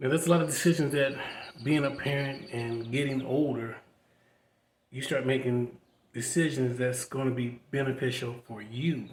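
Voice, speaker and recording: With fairly even intonation, a man speaks at medium pitch in a somewhat breathy voice. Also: moderate pace. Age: 60s. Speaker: vlogger. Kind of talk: personal testimony. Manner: casual conversational.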